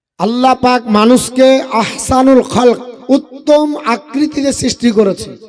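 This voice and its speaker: There is noticeable background noise as a man speaks at an extremely high pitch with fairly even intonation. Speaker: Islamic preacher (waz speaker). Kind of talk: Islamic sermon (waz) to a public gathering.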